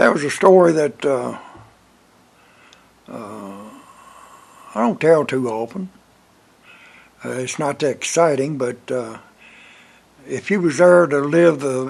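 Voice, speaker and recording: A man with a Southern US accent speaks very slowly, with long, frequent pauses. His fairly high voice has lively intonation. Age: 80s+. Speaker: Vietnam war veteran. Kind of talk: storytelling. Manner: halting, many filler words; casual, folksy.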